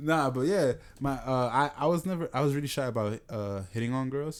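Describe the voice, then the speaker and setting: The speaker has a New York accent. The pace is fairly quick. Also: man. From New York, the Bronx. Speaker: podcast co-host. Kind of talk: casual chat.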